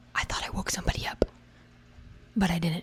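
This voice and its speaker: A woman is whispering. Her voice is somewhat breathy. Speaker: book content creator. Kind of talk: casual vlog. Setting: home library at night.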